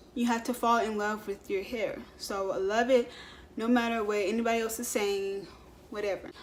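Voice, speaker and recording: A woman's ordinary speaking voice, fairly high-pitched, with fairly even intonation at a moderate pace. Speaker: beauty vlogger. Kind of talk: tutorial. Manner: casual, filler-heavy.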